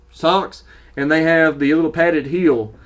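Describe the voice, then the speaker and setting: A man with a Southern US accent speaks at a moderate pace, with fairly high pitch and fairly even intonation. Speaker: running gear YouTuber. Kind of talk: casual product review. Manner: casual, halting with fillers.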